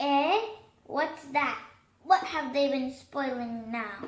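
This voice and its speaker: Using a put-on character voice, a woman speaks high in pitch. Her delivery is very slow. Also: ordinary pitch variation. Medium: read story.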